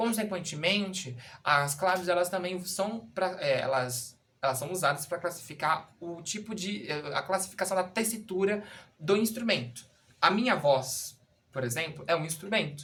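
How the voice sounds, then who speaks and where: The man's voice is high-pitched and bright, sharp in tone, with lively intonation at a moderate pace. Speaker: music teacher. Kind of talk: tutorial. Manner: halting, with many fillers.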